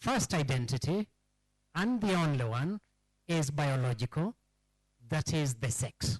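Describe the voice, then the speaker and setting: With a Kenyan accent, a man speaks at a fairly high pitch and a fairly slow pace, sounding somewhat breathy, with lively intonation, very even loudness, and long, frequent pauses. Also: dry, close sound with no echo. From Kenya, Rift Valley (Subukia). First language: Kikamba. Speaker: historian speaking at a public forum. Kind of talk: public lecture.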